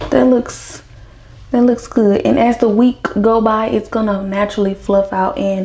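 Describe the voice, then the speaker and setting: A woman with an American accent speaks fairly slowly in a fairly high, somewhat breathy voice. Her tone is dark and mellow, and her intonation stays fairly even. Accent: Southern US accent, per others. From US South. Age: 20s. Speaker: hair care vlogger. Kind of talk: casual tutorial. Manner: casual, chatty.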